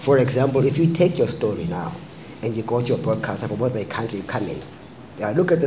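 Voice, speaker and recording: A man at a medium pitch talks very fast with lively intonation. Noticeable background noise and audible room echo fill the recording. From South Africa. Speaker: filmmaker. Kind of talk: panel discussion.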